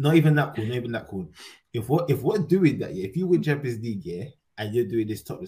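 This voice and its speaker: Talking at a very fast pace, a man with a medium-pitched, dark, mellow tone sounds somewhat breathy and swings very widely in pitch. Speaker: football podcast host. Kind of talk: casual banter.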